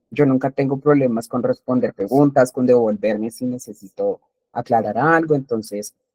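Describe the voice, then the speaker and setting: Here a man talks at a moderate pace in a medium pitch. His intonation is fairly even, and the sound is dry and close with no echo. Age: 20s. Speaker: teacher. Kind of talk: lecture. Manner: halting, with many fillers.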